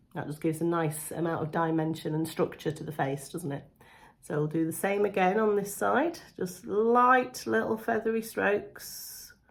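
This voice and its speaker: The speaker has a British accent and a voice that swings very widely in pitch. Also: woman, fairly low pitch for a woman, moderate pace. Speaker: beauty vlogger. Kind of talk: makeup tutorial. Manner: casual, chatty.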